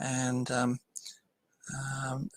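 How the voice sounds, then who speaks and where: A man's fairly high voice with an Australian accent, bright and sharp in tone, with a dry, close sound and no echo. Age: 70s. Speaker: political campaigner. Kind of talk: interview. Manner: hesitant, many ums.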